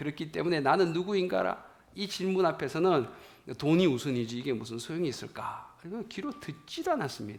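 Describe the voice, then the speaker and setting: Over audible room echo, a man with a fairly high pitch speaks at a fairly quick pace with lively intonation. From rural South Korea. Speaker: pastor. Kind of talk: sermon.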